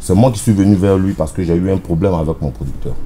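Over light background noise, a man's very deep, low voice carries lively intonation. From Ivory Coast, Daloa region; Ivory Coast. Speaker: zouglou singer; interviewee. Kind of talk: interview. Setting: air-conditioned bar. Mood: relaxed, explanatory.

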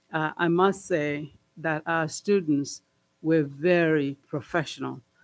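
Fairly slow, fairly even speech from a man with a fairly high pitch. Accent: non-native. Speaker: school board trustee. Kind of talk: board meeting report. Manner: halting, many fillers. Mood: heartfelt, grateful. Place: meeting room. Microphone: podium.

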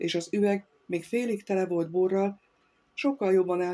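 The clip features a natural reading voice. That natural reading voice holds from start to finish.

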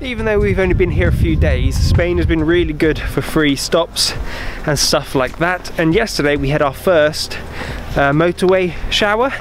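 With clear music in the background, a man speaks at a very even loudness. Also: moderate pace, dry sound with no echo. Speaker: travel vlogger. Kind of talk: casual vlog chat. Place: open country. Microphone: phone near.

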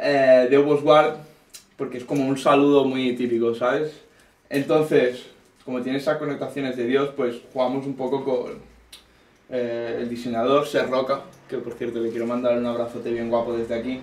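With audible room echo, a man speaks at a medium pitch and moderate pace in a monotone, flat intonation. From Catalonia, Terrassa. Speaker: rapper. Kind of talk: casual chat. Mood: relaxed, explanatory. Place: studio. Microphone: camera far.

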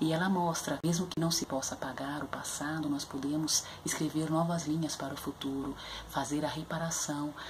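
A woman speaks in a very deep, low voice with monotone, flat intonation. Noticeable background noise runs underneath. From Brazil, São Paulo periphery (Capão Redondo). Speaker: literature educator presenting books. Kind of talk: educational book review video. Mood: earnest, thoughtful. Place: home room. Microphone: webcam.

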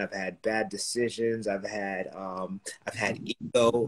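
Over a quiet background, a man speaks at a medium pitch. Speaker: real estate entrepreneur. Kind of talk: casual interview. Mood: reflective, candid. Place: home room. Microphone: video call.

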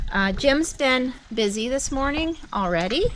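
Over light background noise, a woman speaks very slowly in a high voice. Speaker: farm vlogger. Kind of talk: casual vlog chat. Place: farm machine.

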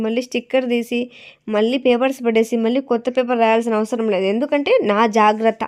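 A woman's high-pitched voice, with ordinary pitch variation, sits against a quiet background. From Andhra Pradesh, Rayalaseema (Kadapa district). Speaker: vlogger and saree seller. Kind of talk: casual vlog talk to camera.

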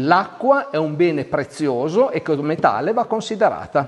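A man is speaking. His pitch swings very widely. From Piedmont, Italy (Asti area); Piedmont, Italy. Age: 50s. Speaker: winemaker. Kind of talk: interview monologue. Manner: hesitant with fillers.

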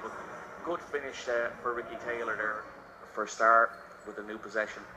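Music plays in the background as a man talks. His tone is animated and his pace fairly quick. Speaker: basketball commentator. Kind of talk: live sports commentary. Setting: arena broadcast. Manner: animated, fluent play-by-play with analyst-style asides.

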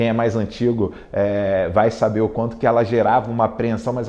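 The man's pitch is medium and his pace moderate. He delivers every line with monotone, flat intonation. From Brazil, Rio de Janeiro. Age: 40s. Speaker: tech executive and alumnus. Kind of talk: interview testimony. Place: studio. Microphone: lapel.

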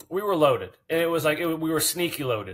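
A man speaks at a fairly quick pace with a fairly bright tone.

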